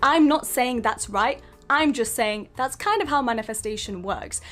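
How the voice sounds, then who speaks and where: This woman's voice sits fairly high in pitch. She moves at a moderate pace with lively intonation. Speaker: self-help video creator. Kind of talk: motivational talk. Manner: emphatic.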